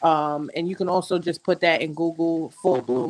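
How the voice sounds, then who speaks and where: A woman's very deep, low voice in a Queens accent, moderate pace, ordinary pitch variation, and a dry, close sound with no echo. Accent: New York City (Queens). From Jamaica, Queens, New York City. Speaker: content creator and magazine editor. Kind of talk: casual chat.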